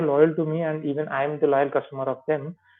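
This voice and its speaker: This man has an Indian accent and a fairly high pitch. He talks at a fairly quick pace. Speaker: software trainer. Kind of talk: tutorial. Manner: halting.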